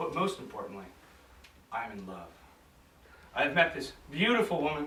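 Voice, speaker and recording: Speaking at a moderate pace with an American accent, a man with a fairly high pitch makes very wide pitch swings and big swings in loudness, with audible room echo and noticeable background noise. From United States. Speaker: hypnotherapist giving a club speech. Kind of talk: contest speech.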